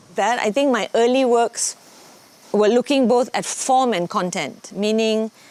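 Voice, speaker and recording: A woman talks at a very slow pace. Her pitch is fairly high, with ordinary pitch variation. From Malaysia. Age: 60s. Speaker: dancer and choreographer. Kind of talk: interview talk.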